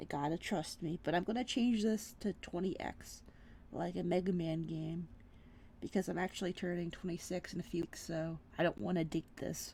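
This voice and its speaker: A woman speaks at a moderate pace in a fairly low pitch, her dark, mellow tone carrying vocal fry and ordinary pitch variation. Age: 20s. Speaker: vtuber artist. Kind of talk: casual chat while drawing.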